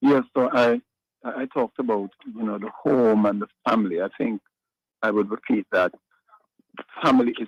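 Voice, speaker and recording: The sound of this man's voice is dry and close with no echo as he talks at a moderate pace. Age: 60s. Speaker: pastor. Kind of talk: radio interview. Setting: remote line into radio show. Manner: halting.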